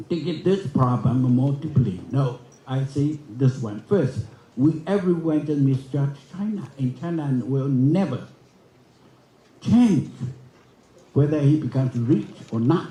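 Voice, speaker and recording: A man with a dark, mellow, somewhat breathy tone and a fairly high pitch talks at a fairly slow pace with ordinary pitch variation and long, frequent pauses. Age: 80s. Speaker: forum speaker. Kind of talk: conference speech. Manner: halting.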